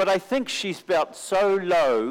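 With a New Zealand accent, a man talks at a fairly slow pace. His intonation is lively. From New Zealand, Auckland. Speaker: mission agency recruiter. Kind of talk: sermon.

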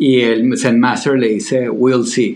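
There is audible room echo in this recording. A man speaks at a fairly slow pace. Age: 40s. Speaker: podcast co-host. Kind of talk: casual conversational discussion.

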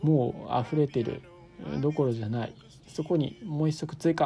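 A man speaks at a moderate pace and fairly high pitch, with ordinary pitch variation. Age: 20s. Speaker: podcast host. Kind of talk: casual solo monologue. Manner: animated.

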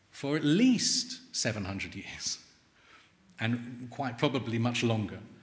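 A man speaks at a medium pitch with ordinary pitch variation and a somewhat breathy quality. His pace is very slow. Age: 50s. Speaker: author and journalist. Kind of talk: book talk.

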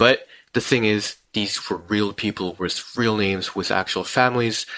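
Bright, sharp tone from a man with a Korean accent, fairly low pitch and ordinary pitch variation. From South Korea. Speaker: podcast co-host. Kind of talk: live stream discussion. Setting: live stream.

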